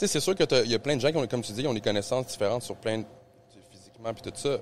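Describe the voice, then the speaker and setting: Very fast speech with a Quebec accent. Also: man, medium pitch for a man, ordinary pitch variation. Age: 30s. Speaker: jiu-jitsu practitioner. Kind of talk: casual podcast chat.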